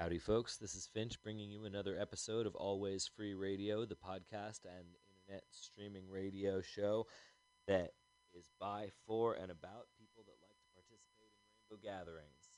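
A man with a fairly low pitch talks at a moderate pace in monotone, flat intonation, with big swings in loudness. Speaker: radio host. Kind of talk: show announcement and memorial notice. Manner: informal, hesitant with fillers.

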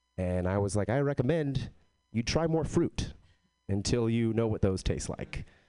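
With an American accent, a man speaks at a moderate pace and medium pitch, his intonation lively. His tone is dark and mellow over a quiet background. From Texas. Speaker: comedian. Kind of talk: stand-up.

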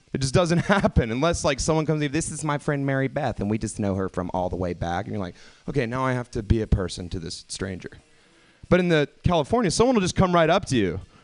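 The speaker has an American accent and talks at a very fast pace. The pitch swings very widely. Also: man, medium pitch for a man. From US South. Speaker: comedian. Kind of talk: stand-up.

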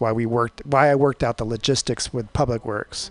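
Over a quiet background, a man speaks in a plain, everyday voice at a fairly quick pace with ordinary pitch variation, the sound dry and close with no echo. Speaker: magazine publisher. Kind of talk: interview. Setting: studio.

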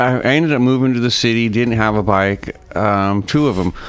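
This is a man with an unremarkable speaking voice. His pitch varies in an ordinary way. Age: 50s. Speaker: motorcycle racer. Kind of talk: interview.

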